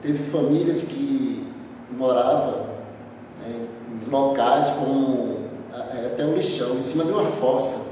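A man talks at a very slow pace amid strong room echo. Noticeable background noise runs underneath. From Brazil, Recife, Pernambuco; Pernambuco, Brazil. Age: 40s. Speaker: community leader. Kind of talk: interview. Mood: serious, describing hardship. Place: empty room. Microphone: camera far.

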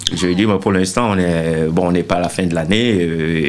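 Fairly even intonation in a man's very deep, low-pitched voice. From Cameroon, Douala; Cameroon. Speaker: bassist; interview guest. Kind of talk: interview. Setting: studio. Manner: halting. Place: studio. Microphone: handheld.

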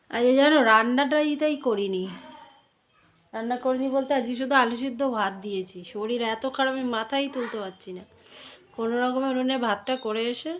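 A woman's voice sits at a high pitch with ordinary pitch variation. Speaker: lifestyle vlogger. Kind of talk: casual vlog talk. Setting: at home, lying in bed.

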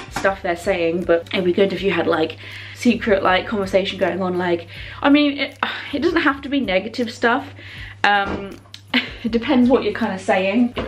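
A woman at a moderate pace, with faint music in the background. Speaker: vlogger. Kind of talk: casual vlog chat. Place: kitchen. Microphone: phone near.

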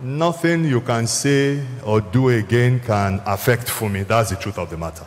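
The man's intonation is lively. He speaks at a fairly slow pace. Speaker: church minister. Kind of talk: sermon. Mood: solemn, consoling. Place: church. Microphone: handheld.

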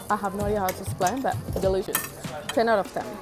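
A woman speaks with clear music in the background. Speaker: food vlogger. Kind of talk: casual vlog chat. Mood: delighted, enthusiastic. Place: cafe. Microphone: earbuds.

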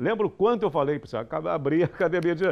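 Vocal fry creeps into the speech. The pitch rises and falls across a very wide range. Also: man. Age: 50s. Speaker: TV news host. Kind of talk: studio commentary on TV news. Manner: animated. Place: studio. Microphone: lapel.

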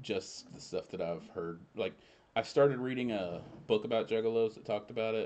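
This speaker has an American accent, a fairly quick pace, ordinary pitch variation, and big swings in loudness. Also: man. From US South. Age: 30s. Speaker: friend of the host. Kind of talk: casual chat. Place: home room. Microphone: studio mic.

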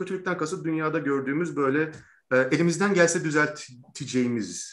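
The intonation is lively. The pace is moderate. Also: man. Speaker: interview host. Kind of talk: interview introduction and lecture-style explanation. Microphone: video call.

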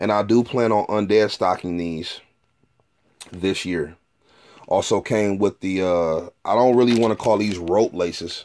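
Keeping fairly even intonation, a man talks at a moderate pace. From Detroit, Michigan. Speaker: sneaker collector and reseller, YouTuber. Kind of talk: casual product review video. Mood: relaxed, pleased. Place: home room. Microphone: phone near.

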